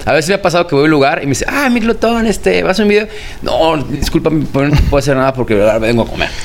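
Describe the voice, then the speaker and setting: Noticeable background noise sits behind the recording. A man talks very fast at a fairly high pitch, with very wide pitch swings. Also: very even loudness. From Mexico, Guadalajara. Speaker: food blogger. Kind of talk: interview.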